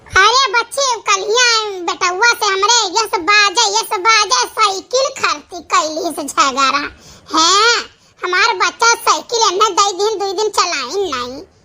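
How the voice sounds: A woman puts on a cartoonish character voice at an extremely high pitch. Her intonation is lively. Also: fairly slow pace.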